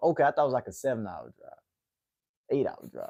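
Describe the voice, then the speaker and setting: A man with a Southern accent and a medium pitch. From US South, Atlanta, Georgia. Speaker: MMA livestream host. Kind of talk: casual chat with live chat viewers. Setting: livestream.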